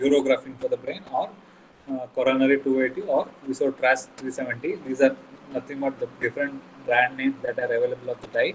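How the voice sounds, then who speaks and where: A man's voice amid noticeable background noise. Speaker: medical lecturer. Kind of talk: lecture. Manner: halting, many fillers.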